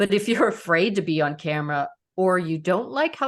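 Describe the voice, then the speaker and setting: A woman speaks at a moderate pace in a plain, everyday voice. Her pitch sits in the middle range, and her intonation is lively. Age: 60s. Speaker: leadership and public speaking coach. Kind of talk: interview conversation.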